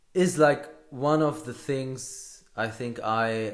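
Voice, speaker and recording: Male speech, ordinary pitch variation, audible room echo. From Hamburg, Germany. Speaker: podcaster. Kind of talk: solo podcast monologue. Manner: halting, many fillers and repeats.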